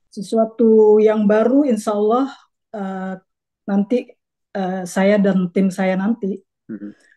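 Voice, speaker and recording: Against a quiet background, a woman with a medium pitch and a dark, mellow tone speaks at a very slow pace, her intonation fairly even and her pauses long and frequent. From Jakarta, Indonesia (Betawi). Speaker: community organization board candidate; candidate. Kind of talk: casual interview. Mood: relaxed, earnest. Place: home room. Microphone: video call.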